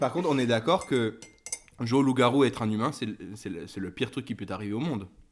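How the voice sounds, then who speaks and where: A man talking at a very fast pace, with noticeable background noise. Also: medium pitch for a man, ordinary pitch variation. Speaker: podcast co-host. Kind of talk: casual chat. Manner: hesitant, repeats words.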